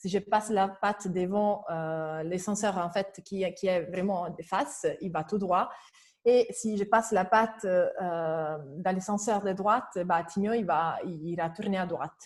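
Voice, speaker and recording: Speaking very slowly with a strong non-native accent, a woman at medium pitch uses ordinary pitch variation. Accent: strong foreign accent in French. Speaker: educational robotics presenter. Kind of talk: webinar presentation. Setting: online webinar. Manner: hesitant, many fillers.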